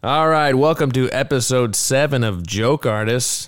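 Recorded very cleanly against a silent background, a man with a plain, everyday voice speaks at a fairly slow pace in a medium pitch with ordinary pitch variation. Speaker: podcast co-host. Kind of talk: casual comedy podcast interview.

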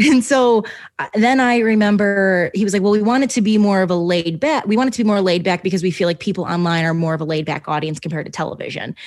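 Speaking very fast with hardly any pauses, a woman with an American accent uses lively intonation and an animated tone at a medium pitch. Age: 20s. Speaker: podcast host. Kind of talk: casual chat.

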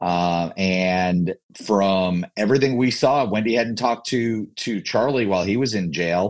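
A man's normal speaking voice, fairly low in pitch with ordinary variation, at a fairly slow pace over a quiet background. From New Jersey. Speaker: lawyer. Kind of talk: panel discussion.

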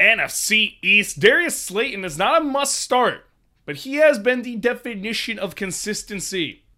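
A man's raised, projected voice with a bright, sharp tone comes at a fairly slow pace in a very clean recording with a silent background. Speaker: fantasy football podcast host. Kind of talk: sports analysis monologue. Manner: energetic.

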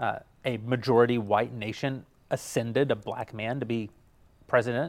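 A man speaks at a medium pitch. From United States. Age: 40s. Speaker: media company executive. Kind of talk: interview. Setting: studio.

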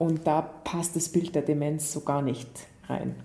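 This woman has a very deep, low pitch and a dark, mellow tone that is somewhat breathy. Her intonation is monotone and flat. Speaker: psychologist and author. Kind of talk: interview. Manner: hesitant with fillers.

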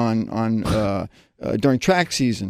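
In a very clean recording with a silent background, a man with an American accent talks at a moderate pace. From New Jersey suburb, US. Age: 60s. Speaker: masters track runner and recovering addict. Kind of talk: interview testimony. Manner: halting, many fillers and restarts.

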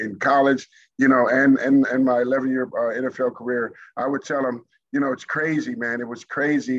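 This man has an ordinary speaking voice with a fairly high pitch. He keeps a moderate pace. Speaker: former pro football player. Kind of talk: casual chat.

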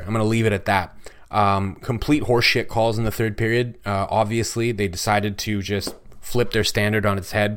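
A plain, everyday voice with a Canadian accent. The delivery is fairly quick, with fairly even intonation. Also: man. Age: 30s. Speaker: sports podcast host. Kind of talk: solo sports commentary podcast. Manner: casual, with frequent fillers.

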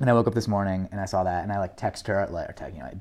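In a very clean recording with a silent background, a man with an American accent talks at a very fast pace, his fairly low pitch held in fairly even intonation. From Manhattan, New York City. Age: 20s. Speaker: guest. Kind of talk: casual chat.

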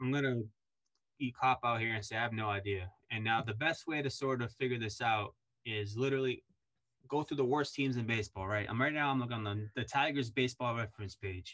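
A man with a plain, everyday voice speaks at a fairly quick pace, his medium pitch carried on a fairly even intonation. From Puerto Rican family, raised in US. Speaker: sports journalist. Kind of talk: casual interview.

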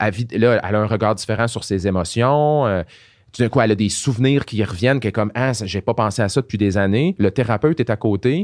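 Recorded very cleanly with a silent background and a dry, close sound with no echo, a man with a Quebec accent speaks at medium pitch with ordinary pitch variation. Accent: Québécois French. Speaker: pharmacist and science communicator. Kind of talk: casual interview conversation.

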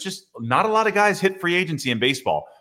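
A man with a bright, sharp tone and vocal fry swings very widely in pitch, recorded very cleanly against a silent background. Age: 30s. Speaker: former minor league baseball pitcher and sports podcast host. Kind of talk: casual interview chat.

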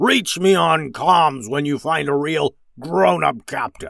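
Doing a put-on character voice, a man speaks slowly at a fairly high pitch, his gravelly, rumbling tone fairly bright and edged with vocal fry. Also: lively intonation.

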